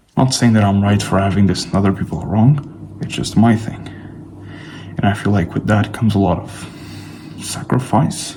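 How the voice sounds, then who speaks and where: Noticeable background noise sits behind a man with a fairly low voice. He speaks at a moderate pace with ordinary pitch variation and long, frequent pauses. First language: not English. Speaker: fitness vlogger. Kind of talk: casual vlog monologue. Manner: casual, rambling with fillers.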